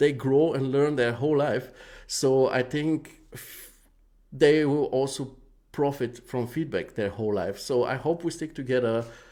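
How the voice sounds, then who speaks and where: In a very clean recording with a silent background, a man with a non-native accent speaks fairly slowly in a dark, mellow tone with ordinary pitch variation. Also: medium pitch for a man. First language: not English. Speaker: live show host giving feedback on 3D renders. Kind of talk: live stream commentary. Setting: live stream with chat. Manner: hesitant, many fillers.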